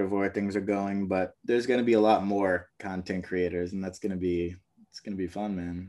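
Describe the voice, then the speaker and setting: This man has an ordinary speaking voice, fairly low in pitch, with an American accent, at a moderate pace. The recording is very clean, with a silent background. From US Northeast, Brooklyn, New York. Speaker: basketball media host. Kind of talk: casual interview.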